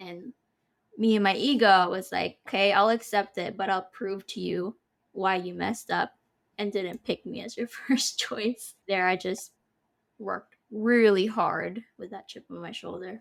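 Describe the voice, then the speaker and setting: A woman with an American accent and an unremarkable speaking voice, medium in pitch, at a fairly slow pace, with big swings in loudness. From Philippines, UK and US. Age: 20s. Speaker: HR professional. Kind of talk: interview.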